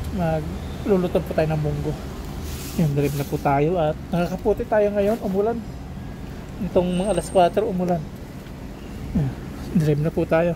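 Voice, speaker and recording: Over noticeable background noise, a man with a high pitch and ordinary pitch variation speaks with long, frequent pauses. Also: moderate pace. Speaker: vlogger. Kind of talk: casual vlog narration. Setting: outdoors.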